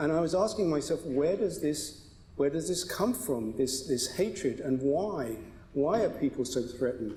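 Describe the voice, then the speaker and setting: Audible room echo surrounds a man speaking with a British accent at a moderate pace. His pitch is fairly high, with ordinary pitch variation. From Britain. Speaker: advocacy group spokesman. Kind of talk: panel debate. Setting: synagogue stage with audience.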